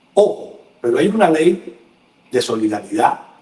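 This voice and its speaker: Noticeable background noise beneath speech with very wide pitch swings. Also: man. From Cuba. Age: 60s. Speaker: journalist. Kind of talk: casual chat.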